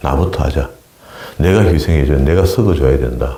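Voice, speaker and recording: With a strong Gyeongsang accent and a very deep, low pitch, a man talks at a fairly quick pace with ordinary pitch variation over noticeable background noise. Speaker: pastor. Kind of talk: sermon. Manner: halting.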